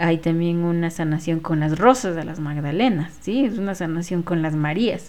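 A woman talks at a moderate pace in a fairly low voice with ordinary pitch variation. She hardly pauses at all. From Ecuador, Quito. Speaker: spiritual healer. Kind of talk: casual monologue. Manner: hesitant, with fillers.

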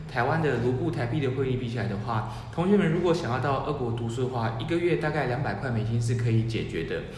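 Talking at a very fast pace with hardly any pauses, a man comes through with audible room echo and noticeable background noise. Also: medium pitch for a man, ordinary pitch variation. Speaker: researcher and Russia-focused editor. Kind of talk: casual chat.

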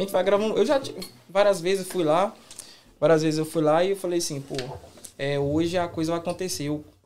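A man speaks at a fairly quick pace in a high pitch with ordinary pitch variation. He leaves long, frequent pauses. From Brazil, Minas Gerais. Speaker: pagode musician. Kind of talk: casual chat.

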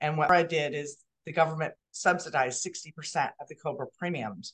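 A woman's fairly low voice, a normal speaking voice, at a moderate pace with ordinary pitch variation. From Southern California. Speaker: benefits administration business owner. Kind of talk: interview.

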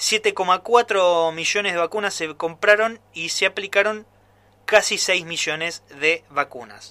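At a fairly slow pace, a man projects a raised voice at a high pitch with a bright, sharp tone, the sound dry and close with no echo. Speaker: radio commentator. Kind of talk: editorial commentary.

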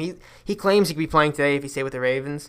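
The speech comes at a very fast pace. The recording is very clean, with a silent background. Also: man. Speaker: sports podcast host. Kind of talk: solo sports commentary podcast. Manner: filler-heavy, casual.

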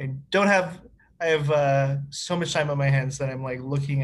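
At a moderate pace, a man speaks in a somewhat breathy, fairly high-pitched voice with fairly even intonation. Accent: Canadian. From Winnipeg, Manitoba, Canada. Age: 30s. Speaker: city planner. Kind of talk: casual conversation. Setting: video call.

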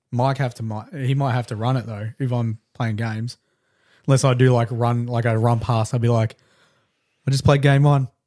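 Speaking in an Australian accent at a moderate pace, a man has a dark, mellow tone and monotone, flat intonation. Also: medium pitch for a man. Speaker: podcast co-host and miniature painting streamer. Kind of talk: casual chat. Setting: live-streamed podcast studio.

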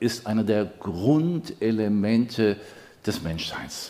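This is a man speaking. His pitch moves an ordinary amount. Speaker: pastor. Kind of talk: sermon. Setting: church service, also streamed.

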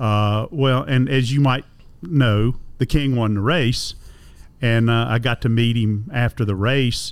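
A man's medium-pitched voice with a North Carolina accent, fairly even intonation, a fairly slow pace and very even loudness. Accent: Southern US (North Carolina). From US South, Concord, North Carolina. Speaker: motorsport radio broadcaster and museum director. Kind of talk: casual interview chat. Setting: on location at a museum.

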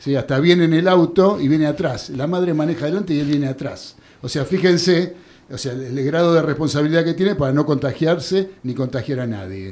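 With a Rioplatense accent, a man speaks at a fairly quick pace. His pitch is fairly high, with ordinary variation. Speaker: radio sports show host. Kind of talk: radio sports talk show. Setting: radio studio.

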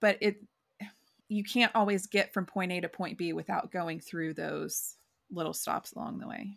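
A woman with an American accent speaks in a normal speaking voice at medium pitch. Her pace is moderate, with ordinary pitch variation and big swings in loudness. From rural Oklahoma. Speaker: podcast co-host. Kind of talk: casual chat.

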